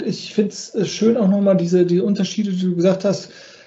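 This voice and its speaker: A high-pitched man with a slight Cologne accent. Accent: slight Rhineland Kölsch. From Rhineland, Cologne area. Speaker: podcast host, life coach. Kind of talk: interview.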